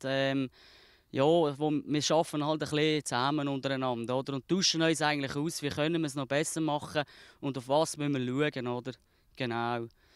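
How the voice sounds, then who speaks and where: A man with a Swiss accent, fairly high in pitch, at a moderate pace with fairly even intonation, the sound dry with no echo against a quiet background. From Switzerland. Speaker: fruit farmer. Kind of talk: interview answer. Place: farm.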